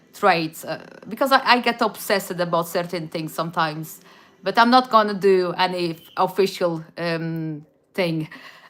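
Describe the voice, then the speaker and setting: In a Portuguese accent, a woman talks at a fairly slow pace with ordinary pitch variation. Her voice sits at a medium pitch and has a bright, sharp tone. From Portugal, Madeira. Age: 40s. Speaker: YouTuber. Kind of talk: casual livestream chat. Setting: live stream. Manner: halting, many restarts.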